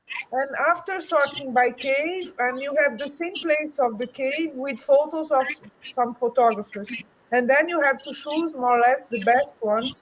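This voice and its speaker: Against noticeable background noise, a woman with a high voice speaks at a moderate pace with ordinary pitch variation. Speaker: book co-author and cave photographer. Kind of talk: interview answer at live book launch. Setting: online live stream. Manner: halting, many false starts.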